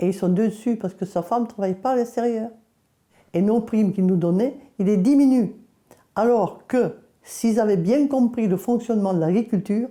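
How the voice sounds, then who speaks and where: Against a silent background in a very clean recording, a woman with a dark, mellow tone and fairly high pitch speaks at a moderate pace with ordinary pitch variation, very even loudness, and long, frequent pauses. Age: 80s+. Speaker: farmer. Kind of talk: testimony. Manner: halting, with hesitations.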